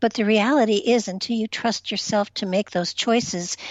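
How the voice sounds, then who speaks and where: Here is a woman with a plain, everyday voice. She talks at a moderate pace with ordinary pitch variation. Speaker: spiritual empath, reiki master. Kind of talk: interview answer on talk radio.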